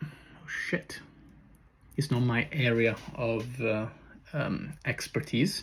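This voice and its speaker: Somewhat breathy and very slow, a man with an Italian accent speaks at a medium pitch with ordinary pitch variation and long, frequent pauses. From Italy. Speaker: personal trainer and content creator. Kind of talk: casual vlog monologue. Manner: hesitant, many fillers.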